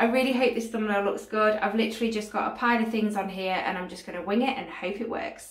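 Audible room echo surrounds the voice of a woman. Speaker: craft vlogger. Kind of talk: casual vlog chat. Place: home room. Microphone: phone near.

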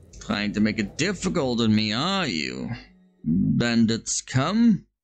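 Very slow speech with music in the background. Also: man. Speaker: vtuber. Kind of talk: gaming let's play commentary. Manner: calm, chill.

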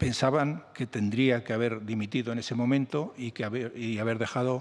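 A man at a moderate pace, intonation fairly even. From Spain. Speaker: journalist and book author; journalist. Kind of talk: interview at a book presentation. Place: meeting room. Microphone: podium.

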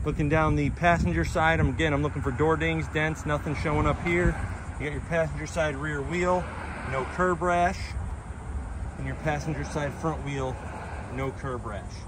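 The recording has a dry sound with no echo, noticeable background noise, and long, frequent pauses in the speech. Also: man, moderate pace. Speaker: car salesperson. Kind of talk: vehicle walkaround commentary. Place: street. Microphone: phone near.

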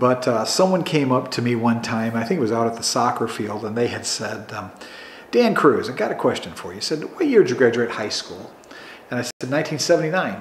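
A man speaks with an American accent at a medium pitch and moderate pace. His pitch varies in an ordinary way, with noticeable background noise behind him. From Chicago suburbs, Illinois. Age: 60s. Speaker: oral history interviewee. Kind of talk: oral history interview.

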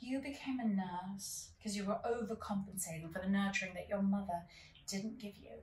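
Against light background noise and audible room echo, a woman with an English accent talks at a fairly quick pace with ordinary pitch variation. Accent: affected English. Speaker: actor in a scene. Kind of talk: scripted dramatic dialogue. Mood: probing, mildly comic. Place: home room.

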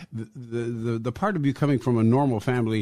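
Over a silent background on a very clean recording, a man with an unremarkable speaking voice talks at a fairly quick pace and medium pitch. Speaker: podcast host. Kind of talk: interview.

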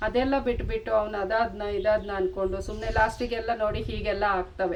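Over noticeable background noise, a woman speaks at a fairly high pitch with monotone, flat intonation. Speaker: vlogger. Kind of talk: casual vlog talk to camera. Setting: outdoors in her garden by a main road. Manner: rough-sounding speaking style.

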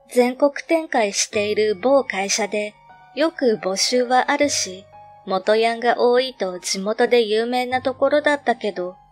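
Music plays in the background as a woman speaks at a fairly slow pace. Her pitch is fairly high, with ordinary variation. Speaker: horror story narrator. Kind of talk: ghost story reading.

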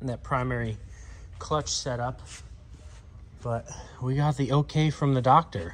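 Light noise sits in the background while a man speaks at a moderate pace. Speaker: dealership vlogger. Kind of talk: casual vlog chat. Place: workshop. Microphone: phone near.

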